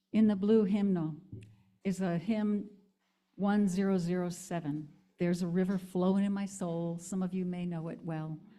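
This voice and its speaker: In a room with audible echo, a voice with a dark, mellow tone and an American accent speaks at a moderate pace with monotone, flat intonation. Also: woman, medium pitch for a woman. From US Northeast (Hudson Valley, NY). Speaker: minister. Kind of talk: sermon.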